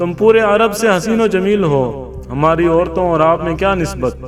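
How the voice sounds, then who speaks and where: A man speaks in a high voice with ordinary pitch variation while music plays in the background. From Pakistan. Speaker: voice-over artist. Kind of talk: Islamic history story narration.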